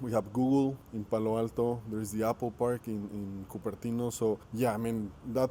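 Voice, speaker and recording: Speaking in a Spanish accent, a man holds a medium pitch with monotone, flat intonation. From Mexico. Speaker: entrepreneur. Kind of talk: interview. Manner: halting.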